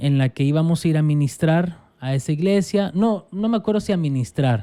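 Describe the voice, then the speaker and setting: A man with a dark, mellow tone and a fairly high pitch speaks at a moderate pace, his intonation lively and his loudness very even. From El Salvador. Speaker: pastor. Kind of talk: casual interview conversation.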